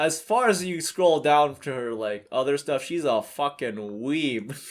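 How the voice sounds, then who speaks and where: The pitch is fairly high for this man. He speaks with lively intonation. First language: not English. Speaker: YouTuber. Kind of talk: casual commentary video. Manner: hesitant, many fillers.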